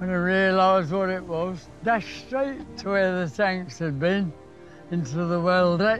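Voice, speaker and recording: With music in the background and audible room echo, a man talks fairly slowly at a high pitch with ordinary pitch variation. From Nottingham, England. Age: 90s. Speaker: war veteran. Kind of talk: casual chat. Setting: outdoors.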